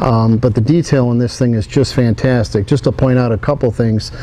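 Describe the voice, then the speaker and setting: Noticeable background noise behind a man's ordinary pitch variation. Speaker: diecast model company president. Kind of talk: product showcase talk.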